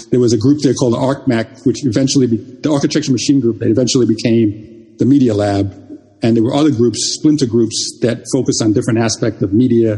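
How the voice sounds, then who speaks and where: Speaking at a very fast pace, a man with a medium pitch and a dark, mellow tone sounds somewhat breathy, keeping fairly even intonation and very even loudness. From Jamaica. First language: Jamaican Patois. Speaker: software engineer and artist. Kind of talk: interview conversation. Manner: halting, repeats words.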